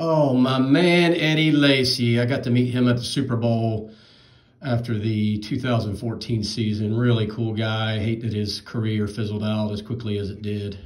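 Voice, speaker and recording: A man with an American accent speaks at a fairly slow pace, with audible room echo around him. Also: ordinary pitch variation. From North Carolina (Charlotte). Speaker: card collector YouTuber. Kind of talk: box break commentary. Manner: casual. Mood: relaxed, mildly amused. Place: home room. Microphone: phone near.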